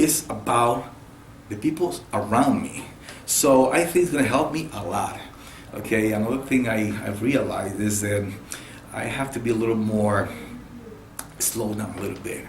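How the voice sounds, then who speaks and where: A man at a medium pitch with ordinary pitch variation and a moderate pace, long, frequent pauses, noticeable background noise and audible room echo. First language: Spanish. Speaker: car salesman. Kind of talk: interview.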